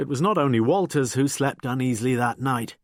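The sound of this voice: This is an unforced reading voice. Its intonation stays fairly even.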